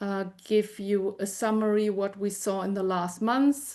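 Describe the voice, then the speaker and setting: A woman speaks with a German accent. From Germany. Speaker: information specialist, department head. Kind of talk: webinar presentation. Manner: halting, many fillers.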